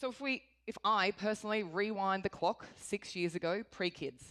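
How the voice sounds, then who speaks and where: With an Australian accent, a woman talks using ordinary pitch variation. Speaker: corporate executive. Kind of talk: conference talk.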